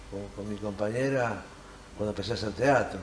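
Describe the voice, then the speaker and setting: This man's speech comes with audible echo from the room. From Argentina, Hurlingham (Buenos Aires area). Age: 60s. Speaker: actor and theatre teacher. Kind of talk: interview.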